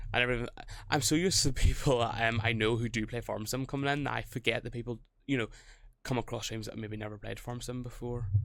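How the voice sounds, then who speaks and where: In a very clean recording with a silent background, a man talks very fast at a medium pitch, with vocal fry and fairly even intonation. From Northern Ireland. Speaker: gaming streamer. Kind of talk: live game stream chat. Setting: live stream. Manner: rambling, hesitant with fillers.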